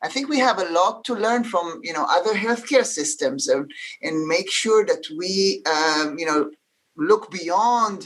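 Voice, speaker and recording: With an Israeli accent, a woman talks at a fairly slow pace using lively intonation. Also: medium pitch for a woman. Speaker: healthcare leader. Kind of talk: panel discussion. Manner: halting, many fillers.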